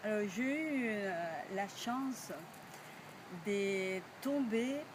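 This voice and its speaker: Over noticeable background noise, someone talks very slowly with lively intonation. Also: woman, fairly high pitch for a woman. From Cuba. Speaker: storyteller. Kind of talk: project presentation to camera.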